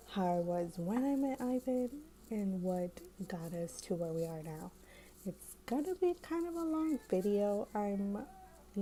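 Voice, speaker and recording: A woman speaks at a fairly slow pace. Her tone is dark and mellow, and somewhat breathy. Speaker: lifestyle vlogger. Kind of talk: casual vlog chat. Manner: whispering; hesitant with fillers.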